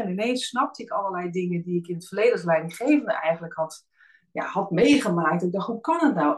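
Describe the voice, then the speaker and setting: Her pitch moves in very wide swings as this woman speaks at a fairly quick pace. Her voice is somewhat breathy. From Netherlands, Alphen aan de Rijn (South Holland). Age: 40s. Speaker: team coach. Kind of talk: podcast interview.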